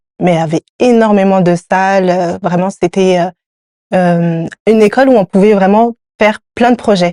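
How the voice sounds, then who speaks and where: In a dry, close sound with no echo, a woman speaks at a moderate pace in a medium-pitched, dark, mellow voice, with fairly even intonation and very even loudness. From France, Paris suburbs (Seine-Saint-Denis). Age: 30s. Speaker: entrepreneur, hairdressing trainer. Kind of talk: interview.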